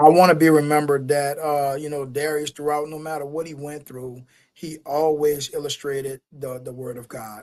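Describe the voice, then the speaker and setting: A man's fairly high, flat monotone at a moderate pace, with hardly any pauses and big swings in loudness. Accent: New Orleans. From US South, New Orleans. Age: 40s. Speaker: motivational speaker. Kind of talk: interview. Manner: passionate.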